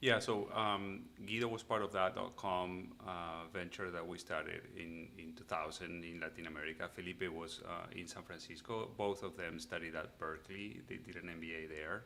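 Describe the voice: A man speaks at a moderate pace with few pauses, low in pitch and fairly even in intonation. His tone is bright and sharp, with vocal fry.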